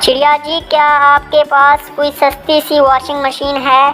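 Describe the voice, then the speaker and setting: Over clear background music, a cartoonish character voice talks at a fairly slow pace. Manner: harried.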